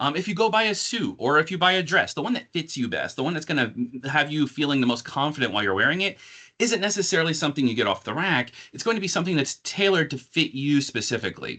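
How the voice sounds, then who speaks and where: Against a quiet background, a man with an American accent talks at a very fast pace in a bright, sharp tone, his fairly high pitch making very wide swings. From northern New Jersey, near New York City. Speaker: corporate marketing director. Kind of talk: corporate presentation.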